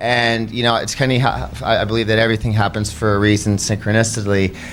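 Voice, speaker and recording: Over noticeable background noise, a man with a Canadian accent talks at a very fast pace and medium pitch, his loudness very even and his intonation fairly even. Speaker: podcast host. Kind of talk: casual chat. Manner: halting.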